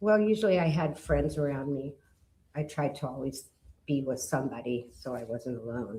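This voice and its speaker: At a moderate pace, the speaker uses a dark, mellow tone that is somewhat breathy. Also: woman, very deep, low pitch for a woman, lively intonation. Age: 60s. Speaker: witness, stabbing survivor. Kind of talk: witness testimony. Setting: courtroom. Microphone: too far from the mic at first.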